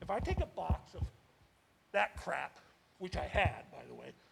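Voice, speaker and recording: A man's speech moves at a moderate pace. Behind it, music plays. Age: 70s. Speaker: resident making public comment. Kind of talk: public comment at council meeting. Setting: town council meeting. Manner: animated.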